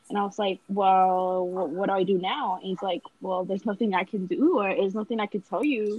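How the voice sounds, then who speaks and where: Dry and close with no echo, an ordinary speaking voice from a woman comes at medium pitch and a fairly quick pace, with hardly any pauses and ordinary pitch variation. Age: young. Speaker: podcast co-host. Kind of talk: casual chat.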